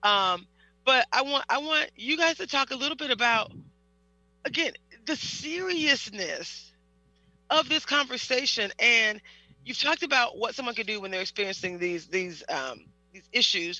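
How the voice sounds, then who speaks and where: A man speaks in a raised, projected voice that is bright, sharp and extremely high-pitched, with very wide pitch swings and big swings in loudness. He keeps a moderate pace, broken by long, frequent pauses. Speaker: podcast host. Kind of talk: interview discussion. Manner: hesitant, repeats words.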